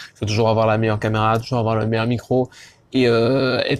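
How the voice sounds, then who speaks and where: A man talks at a fairly quick pace and a medium pitch. His intonation stays monotone and flat. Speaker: YouTuber, fashion vlogger. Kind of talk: casual vlog. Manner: fast; hesitant, many fillers.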